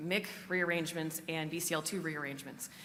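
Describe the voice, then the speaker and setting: The woman's tone is bright and sharp. Room echo can be heard around her voice. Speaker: conference speaker, cancer genomics researcher. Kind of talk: conference talk. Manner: fast.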